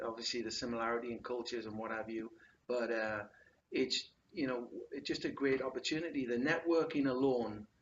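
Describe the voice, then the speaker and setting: At a fairly quick pace, a man with an English accent speaks at medium pitch with fairly even intonation. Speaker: business owner, youth sports clubs. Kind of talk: interview.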